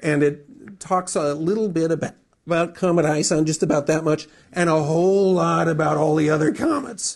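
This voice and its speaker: Speaking with an American accent, a man has a fairly high pitch and fairly even intonation at a fairly quick pace. It is a normal speaking voice against a quiet background. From US Midwest, Wisconsin. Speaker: astronomy magazine editor. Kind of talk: public lecture.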